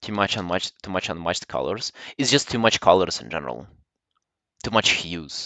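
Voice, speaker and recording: With a Slavic accent and vocal fry, the speaker goes at a fairly quick pace, with big swings in loudness and long, frequent pauses. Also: man, very deep, low pitch for a man. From Russia. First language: Russian. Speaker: artist streamer. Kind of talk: casual livestream chat while drawing. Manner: halting, with many fillers.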